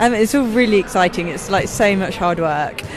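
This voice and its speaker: Noticeable background noise runs under a woman's voice. She talks at a moderate pace with ordinary pitch variation. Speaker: wheelchair basketball player. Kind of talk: interview answer.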